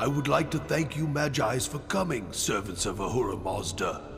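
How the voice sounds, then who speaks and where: Against loud background music, a man does a put-on character voice at a moderate pace. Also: medium pitch for a man. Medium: fan dub.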